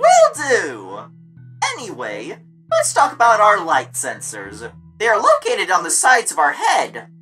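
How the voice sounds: A woman's put-on character voice at medium pitch, fairly bright in tone, with very wide pitch swings, a slow pace and faint music in the background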